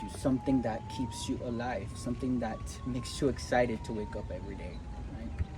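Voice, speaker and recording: A man with a slight Cuban accent, medium in pitch, at a fairly quick pace over noticeable background noise. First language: Spanish. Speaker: spiritual motivational vlogger. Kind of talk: casual motivational talk to camera. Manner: animated.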